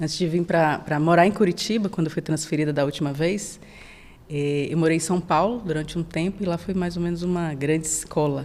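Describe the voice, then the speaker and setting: Speaking at a fairly quick pace, a woman with a northeastern Brazilian accent keeps a fairly even intonation at a fairly low pitch. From Brazilian Northeast, Salvador (Bahia). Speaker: sales manager. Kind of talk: podcast interview.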